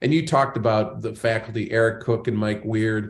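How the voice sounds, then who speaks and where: Somewhat breathy and fairly low-pitched, a man talks at a moderate pace with ordinary pitch variation. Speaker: podcast host and banking consultant. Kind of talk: interview.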